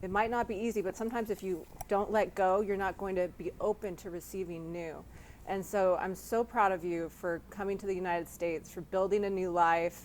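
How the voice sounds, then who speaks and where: Someone speaks at a moderate pace in a plain, everyday voice. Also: woman. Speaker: interviewer. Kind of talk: interview host. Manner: upbeat.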